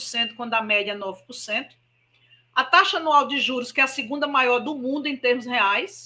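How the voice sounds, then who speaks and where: The voice is raised and projected, bright and sharp in tone, with lively intonation at a moderate pace. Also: woman. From Brazil, Maceió, Alagoas (Northeast). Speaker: spiritist speaker. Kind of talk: public lecture.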